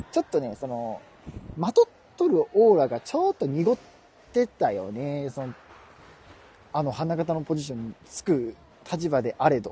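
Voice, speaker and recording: A man with a Kansai accent at a fairly high pitch, very wide pitch swings, a moderate pace and long, frequent pauses, in a dry, close sound with no echo. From Kansai, Japan. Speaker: podcast co-host. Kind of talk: casual comedic chat. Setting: live stream. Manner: animated, laughing often.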